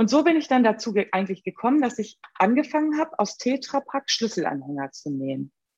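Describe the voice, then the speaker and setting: A woman with a fairly high pitch talks at a fairly quick pace with hardly any pauses, her pitch swinging very widely. The sound is dry and close, with no echo. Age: 50s. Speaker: upcycling craftswoman and social worker. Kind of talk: interview.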